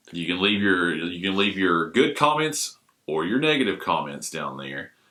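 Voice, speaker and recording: This man's booming, loud voice sits very deep and low, swinging very widely in pitch at a moderate pace. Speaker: podcaster and film fan. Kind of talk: casual chat.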